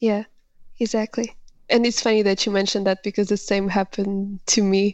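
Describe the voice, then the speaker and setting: A woman's medium-pitched voice with a Portuguese accent, a fairly quick pace, very even loudness, long and frequent pauses, and flat, monotone intonation. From Portugal. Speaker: writer and founder of an interview website. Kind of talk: coaching conversation.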